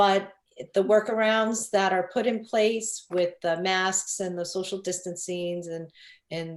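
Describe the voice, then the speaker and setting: A woman with a Long Island accent speaks at a medium pitch and a fairly slow pace. Her intonation is fairly even, on a very clean recording with a silent background. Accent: New York (Long Island). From Long Island, New York. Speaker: real estate broker. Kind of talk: interview. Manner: hesitant, many fillers.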